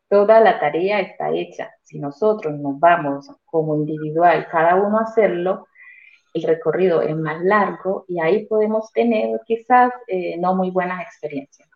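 This woman has an unremarkable speaking voice with lively intonation. She talks at a fairly slow pace. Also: fairly low pitch for a woman. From Colombia. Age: 40s. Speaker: real estate investor. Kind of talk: testimony.

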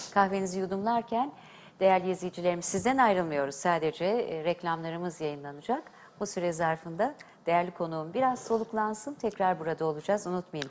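With an unremarkable speaking voice, a woman talks at a fairly quick pace in a medium pitch with ordinary pitch variation. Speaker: TV host and diction teacher. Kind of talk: TV talk show hosting. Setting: TV studio. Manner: formal.

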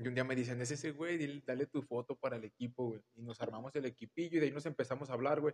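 A man speaks at a very fast pace with a medium pitch. His intonation is fairly even, and the sound is dry and close with no echo. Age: 20s. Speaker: podcast guest, friend of host. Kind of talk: casual chat.

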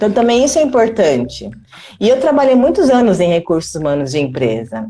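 A woman at a medium pitch with very wide pitch swings and a fairly quick pace, music playing in the background. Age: 30s. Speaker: mother and entrepreneur, former HR professional. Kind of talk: casual interview on a live stream. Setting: live video stream. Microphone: quiet audio.

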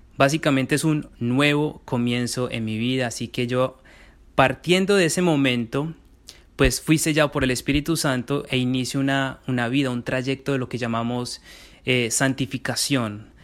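The recording is very clean with a silent background as a man talks in a medium-pitched voice. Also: fairly even intonation, moderate pace. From Colombia, Medellín. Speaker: theology student and writer. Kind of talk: interview. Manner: articulate.

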